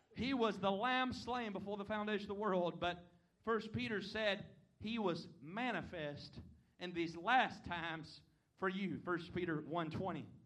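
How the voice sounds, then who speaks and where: With an American accent, a man speaks at a fairly slow pace in a high pitch, his pitch varying in an ordinary way, and the room echo is audible. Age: 20s. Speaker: visiting preacher. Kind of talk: sermon. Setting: church.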